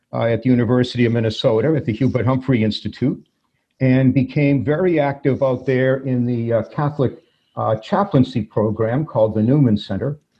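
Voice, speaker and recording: A man's somewhat breathy, medium-pitched voice carries ordinary pitch variation as he talks at a moderate speed. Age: 60s. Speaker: former priest. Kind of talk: interview.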